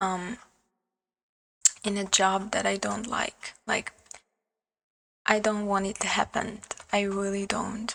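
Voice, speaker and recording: Speaking very slowly with long, frequent pauses, a woman with a non-native accent uses a medium pitch and a monotone, flat intonation. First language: not English. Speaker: vlogger. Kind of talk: personal vlog monologue. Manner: hesitant, many fillers.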